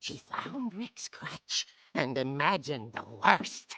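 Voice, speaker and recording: This put-on character voice sits at a low-to-middle pitch, swinging very widely up and down while moving at a fairly slow pace. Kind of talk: horror comic narration. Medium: video game. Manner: relishing, macabre.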